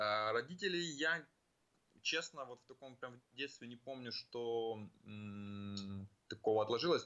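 At a very slow pace, a man of medium pitch speaks with lively intonation. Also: big swings in loudness. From Ukraine, Kyiv (childhood partly in Western Siberia). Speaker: business analyst and rowing champion. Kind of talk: interview. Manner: hesitant, with many fillers.

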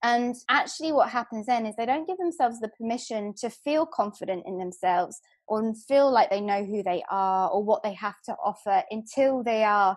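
Lively intonation comes through in a London accent. The pace is moderate over a quiet background. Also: woman. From London, England. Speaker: hypnotherapist and life coach. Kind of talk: podcast interview.

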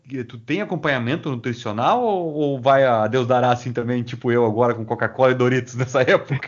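Speaking with hardly any pauses, a man has an unremarkable speaking voice at medium pitch with ordinary pitch variation. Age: 40s. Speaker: podcast host. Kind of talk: interview.

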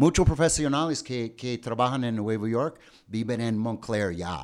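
An unremarkable speaking voice from a man with an American accent, medium pitch, lively intonation and a moderate pace, on a very clean recording with a silent background. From New Jersey, US. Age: 50s. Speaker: podcast host, English teacher. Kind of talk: bilingual casual chat.

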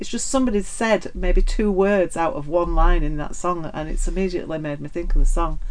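With a northern English accent, a woman talks at a fairly quick pace with hardly any pauses. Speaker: podcast co-host. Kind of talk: casual interview chat.

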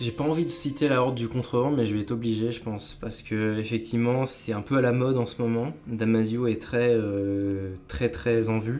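This man's voice sits at a medium pitch, with ordinary pitch variation and hardly any pauses at a moderate pace. Audible room echo surrounds the recording. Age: 20s. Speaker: professional writer. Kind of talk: interview.

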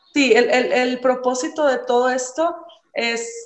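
Her high-pitched voice moves at a very slow pace as the woman speaks. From Mexico, Ciudad Juárez. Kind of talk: interview. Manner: halting.

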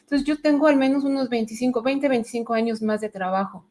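A woman speaks at a fairly slow pace with fairly even intonation in a plain, everyday voice, recorded very cleanly against a silent background. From Mexico City. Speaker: budget analyst and data instructor. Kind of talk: interview / livestream chat.

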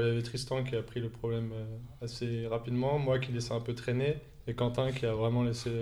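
Here a man speaks at a fairly quick pace and a medium pitch. His delivery is monotone and flat, with a dark, mellow tone. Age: 20s. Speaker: professional table tennis player. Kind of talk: casual chat.

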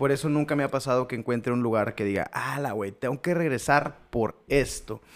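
This man has a plain, everyday voice at a medium pitch, talking at a moderate pace with hardly any pauses. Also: ordinary pitch variation. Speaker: podcast co-host. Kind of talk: casual chat.

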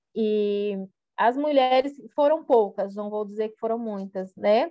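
Fairly high in pitch yet dark and mellow in tone, a woman speaks at a very slow pace. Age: 40s. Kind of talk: interview. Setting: remote call.

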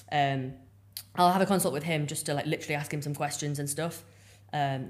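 Speaking very fast, a woman with an English accent has a very deep, low pitch. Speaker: bodybuilding coach and figure athlete. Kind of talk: casual interview chat.

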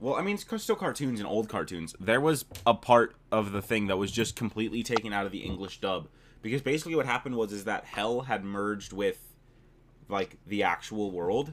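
Here is an unremarkable speaking voice from a man, fairly low in pitch for a man. He moves at a fairly quick pace with ordinary pitch variation. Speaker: podcast host. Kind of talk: casual chat. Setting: video call.

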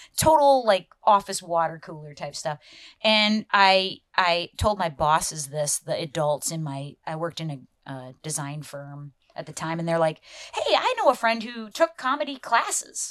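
A woman with an American accent speaks at a fairly low pitch and a moderate pace, with lively intonation and big swings in loudness. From Iowa, US Midwest. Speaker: comedian. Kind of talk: casual chat.

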